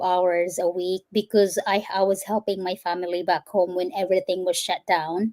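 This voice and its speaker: A woman with a Visayan Filipino accent speaks at medium pitch and a moderate pace, her intonation fairly even and her tone dark and mellow. The very clean recording has a silent background and a dry, close sound with no echo. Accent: Filipino (Cebuano) English. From Philippines, Cebu. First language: Cebuano. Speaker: firefighter, fitness trainer and healthcare worker. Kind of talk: interview.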